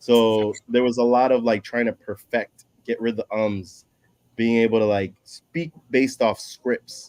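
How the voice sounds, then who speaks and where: A man's medium-pitched voice at a fairly slow pace, with fairly even intonation and a dry, close sound with no echo. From Dominican Republic, raised from childhood in New York. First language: Spanish. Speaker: public speaker, former paralegal. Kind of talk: casual chat.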